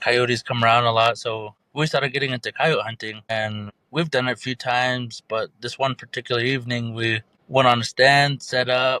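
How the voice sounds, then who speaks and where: A man with an American accent speaks at a moderate pace and medium pitch, with fairly even intonation. His tone is bright and sharp, the sound dry and close with no echo. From Navajo reservation, northeastern Arizona. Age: 20s. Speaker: storyteller sharing paranormal encounters. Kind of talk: personal story telling in podcast interview.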